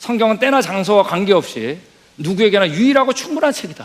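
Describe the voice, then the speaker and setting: A man rattles along at a very fast pace while noticeable background noise runs underneath. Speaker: missionary lecturer. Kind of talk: lecture.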